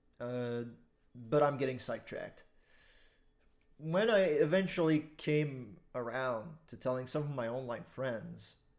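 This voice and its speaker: In a Quebec accent, a man speaks at a fairly slow pace and medium pitch with ordinary pitch variation, big swings in loudness, and long, frequent pauses. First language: French. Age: 20s. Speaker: online commentator. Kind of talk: casual monologue.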